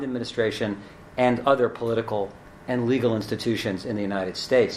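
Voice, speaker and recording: A man talks at a fairly quick pace with fairly even intonation. Noticeable background noise can be heard. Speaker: law professor panelist. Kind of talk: panel talk.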